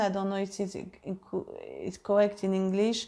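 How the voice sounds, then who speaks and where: A woman speaks with a French accent at a medium pitch, her tone dark and mellow, in a very clean recording with a silent background. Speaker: harp teacher. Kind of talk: casual vlog update. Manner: halting, many fillers.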